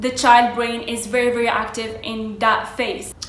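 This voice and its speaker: A woman's fairly high, flat monotone voice in an Arabic accent, with noticeable background noise and audible room echo. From Morocco. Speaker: vlogger. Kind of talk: casual storytelling vlog.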